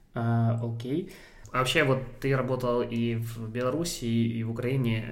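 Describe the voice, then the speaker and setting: A man's medium-pitched voice with fairly even intonation and audible room echo. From Ukraine. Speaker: podcast host. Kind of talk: casual interview.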